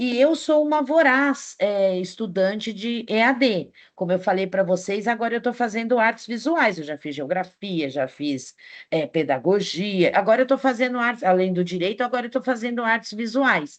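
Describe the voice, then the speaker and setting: A woman speaks at a moderate pace in a fairly high pitch. Her pitch swings very widely against a quiet background. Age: 60s. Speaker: teacher. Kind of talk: online class lecture.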